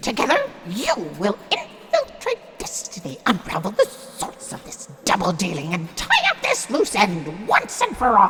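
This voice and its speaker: A put-on character voice sits at a fairly high pitch. It moves at a moderate pace over clear background noise. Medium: audio drama.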